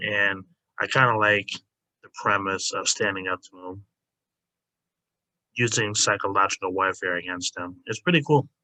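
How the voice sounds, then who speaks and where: A quiet man at a fairly low pitch, bright and sharp in tone, with big swings in loudness and long, frequent pauses, in a dry, close sound with no echo. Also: ordinary pitch variation, moderate pace. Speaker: YouTuber ranking anime characters. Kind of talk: casual tier list commentary. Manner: hesitant, many fillers.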